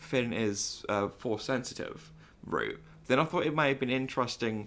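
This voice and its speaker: A man speaks at a moderate pace with a medium pitch. His loudness is very even, and his pitch variation is ordinary. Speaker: podcast co-host. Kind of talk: casual chat. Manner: halting.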